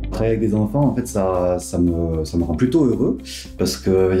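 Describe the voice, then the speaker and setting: Lively intonation marks a man's speech. The room echo is audible, and faint music plays in the background. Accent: southern French. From southern France. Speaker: pediatric nurse. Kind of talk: interview testimony. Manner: hesitant with frequent fillers. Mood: warm, smiling, upbeat. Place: home room.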